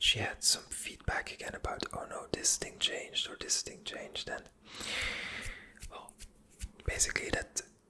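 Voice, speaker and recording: A woman whispers with long, frequent pauses. Her loudness swings widely, and there is noticeable background noise. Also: moderate pace. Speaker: ASMR creator and web/website freelancer. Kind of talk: casual ASMR-style talk to camera about a business project. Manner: whispered, soft, with fillers and hesitations.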